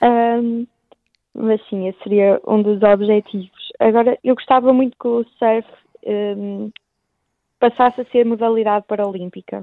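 Pausing long and often, a woman speaks fairly slowly in a monotone, flat intonation. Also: fairly high pitch for a woman. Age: 18. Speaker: blind surfing athlete. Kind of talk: radio interview. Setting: phone call.

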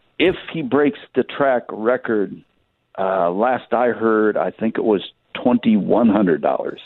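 With an American accent, a man speaks at a medium pitch and a fairly slow pace. His intonation is lively, and he has a normal speaking voice. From Michigan, US Midwest. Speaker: racetrack announcer. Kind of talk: casual chat.

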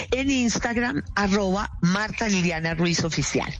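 A woman's lively intonation at a fairly slow pace, with noticeable background noise. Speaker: guest. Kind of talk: radio interview.

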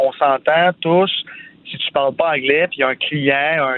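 Very slow delivery in a monotone, flat intonation. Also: man. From Quebec, Sainte-Martine near Montreal. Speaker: entrepreneur, radio commentator. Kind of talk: casual chat.

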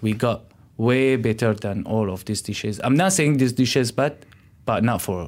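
A man with an Arabic accent is heard in a very clean recording with a silent background. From Syria, Damascus. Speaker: chef and restaurant owner. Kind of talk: interview. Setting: radio studio. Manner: halting.

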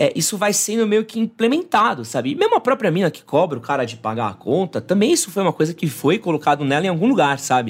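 A man speaks at a fairly quick pace in a high voice, his pitch swinging very widely. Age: 30s. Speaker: men's lifestyle content creator. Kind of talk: casual chat.

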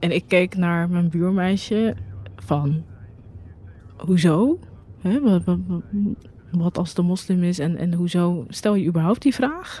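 A woman's somewhat breathy, fairly low voice at a very slow pace, with long, frequent pauses and ordinary pitch variation. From Rotterdam, Netherlands. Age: 30s. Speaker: journalist. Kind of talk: personal testimony. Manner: halting, with repetitions.

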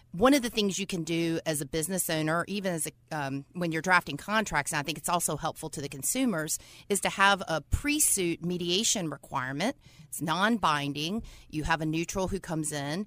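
In an American accent, a woman with an ordinary speaking voice talks at a fairly quick pace with a fairly low pitch and ordinary pitch variation, in a very clean recording with a silent background. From North Carolina. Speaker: lawyer. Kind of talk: interview.

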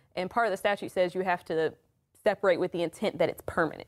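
In a very clean recording with a silent background and a dry, close sound with no echo, a woman at medium pitch speaks with fairly even intonation. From Maryland / Washington DC area. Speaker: attorney. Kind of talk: radio legal talk show discussion. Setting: studio.

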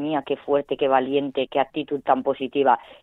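In a flat monotone, a woman with a very deep, low pitch speaks at a moderate pace. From Valencia, Spain. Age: 30s. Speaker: poker player, cancer patient. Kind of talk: interview. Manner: halting, repeats words.

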